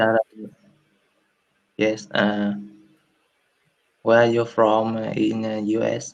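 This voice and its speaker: A man with a Vietnamese accent at a fairly low pitch, monotone and flat, at a very slow pace with long, frequent pauses. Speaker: English learner. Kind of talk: casual conversation practice. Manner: halting, many hesitations.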